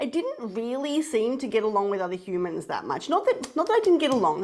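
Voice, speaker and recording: In an Australian accent, a woman with a high pitch speaks in a passionate tone. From Australia, moved from Poland and Italy at six. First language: Polish. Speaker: spiritual coach and founder. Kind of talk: interview.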